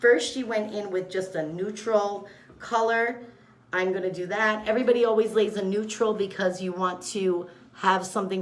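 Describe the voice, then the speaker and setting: Audible room echo surrounds a woman speaking at a moderate pace. Her pitch is medium, with ordinary variation. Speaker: makeup artist / beauty vlogger. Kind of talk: makeup tutorial. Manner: loud; casual, chatty.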